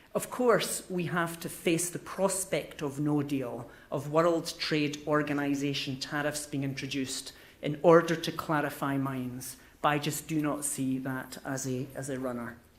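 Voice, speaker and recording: A man with a Scottish accent and a fairly high pitch, speaking at a fairly slow pace with fairly even intonation, audible room echo around him. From Scotland. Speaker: business consultant. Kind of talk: conference speech. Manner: halting.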